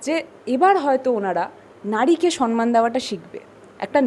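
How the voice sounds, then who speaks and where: The speaker's intonation is lively, with noticeable background noise present. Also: woman. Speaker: politician. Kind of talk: media interview. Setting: outdoors after morning walk.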